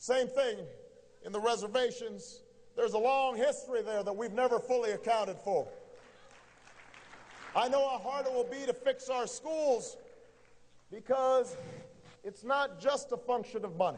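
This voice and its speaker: Against crowd noise in the background, a man with an American accent speaks at an extremely high pitch with fairly even intonation and long, frequent pauses. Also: moderate pace. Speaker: politician. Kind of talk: political campaign speech. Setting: live event hall with audience.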